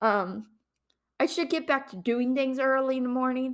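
A woman with an American accent speaks at a moderate pace in a high voice, her pitch varying in an ordinary way. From Ohio. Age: 20s. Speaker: podcast host, grad student. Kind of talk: casual solo monologue. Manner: rambling with many fillers.

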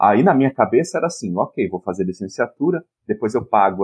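Man with a medium pitch and very wide pitch swings. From São Paulo state, Piracicaba. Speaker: education professor and comics researcher. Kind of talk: casual interview chat.

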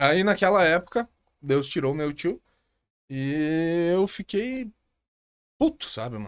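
Against a quiet background, a man with a high voice and lively intonation speaks very slowly with long, frequent pauses, the sound dry and close with no echo. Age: 30s. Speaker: entrepreneur. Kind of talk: casual chat.

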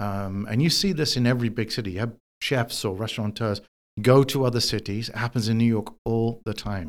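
Speaking with a London accent, a man moves along at a fairly quick pace. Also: medium pitch for a man, ordinary pitch variation. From London, England. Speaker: chef. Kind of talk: interview. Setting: in person, New York City.

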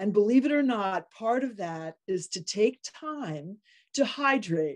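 In an ordinary speaking voice, a woman talks at a fairly slow pace with a fairly high pitch and lively intonation. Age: 60s. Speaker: podcast host, optometrist. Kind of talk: interview.

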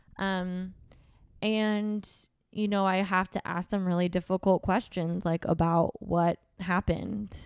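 A woman with an American accent at a fairly slow pace, monotone and flat, on a very clean recording with a silent background. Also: medium pitch for a woman, dry, close sound with no echo. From US West Coast, Southern California (Orange County). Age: 30s. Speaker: lawyer and nonprofit board chair. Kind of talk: interview, personal testimony.

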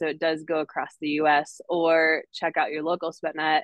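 Moderate pace, a normal speaking voice, with an American accent. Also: woman. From northern Wisconsin, US. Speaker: fitness community business founder. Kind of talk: casual interview.

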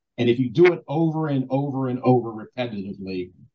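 A man's somewhat breathy, dark, mellow voice at medium pitch and moderate pace, with an American accent. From Baltimore, Maryland, US. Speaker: basketball assistant coach. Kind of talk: interview.

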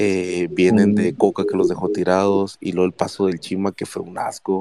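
Very deep and low in pitch, a man speaks in a flat monotone with a dark, mellow tone, on a very clean recording with a silent background. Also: dry, close sound with no echo. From Monterrey, Nuevo León, Mexico. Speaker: caller, football fan. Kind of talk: casual sports chat, banter.

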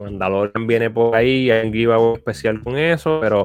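A man speaks with a Puerto Rican accent at a moderate pace and medium pitch. The sound is dry and close, with no echo. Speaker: podcast co-host. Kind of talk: casual chat.

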